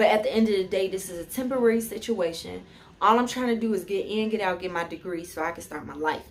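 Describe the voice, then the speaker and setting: At a moderate pace, a woman speaks in a fairly high pitch with an animated tone. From Chicago, US Midwest. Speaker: YouTuber, college student. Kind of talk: casual chat. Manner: loud.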